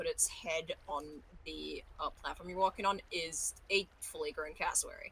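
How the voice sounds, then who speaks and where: Speaking in an Australian accent, a woman takes a fairly slow pace. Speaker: voice actor. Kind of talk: casual chat.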